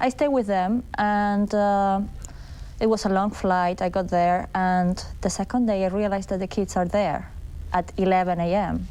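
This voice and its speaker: Over a quiet background, a woman with a Spanish accent speaks at a fairly slow pace, her medium-pitched voice dark and mellow in tone. Her intonation is fairly even and her loudness very even. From Argentina, Buenos Aires. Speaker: documentary filmmaker. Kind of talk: TV interview.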